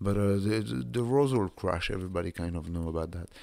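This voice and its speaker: A man speaks with a French accent on a very clean recording with a silent background. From south of France. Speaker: podcast host. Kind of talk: casual monologue.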